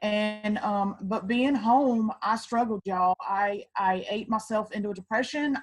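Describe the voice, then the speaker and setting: In a Southern accent, a woman talks at a fairly slow pace with fairly even intonation and a somewhat breathy quality. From US South, Georgia. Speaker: network marketing distributor. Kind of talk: testimony.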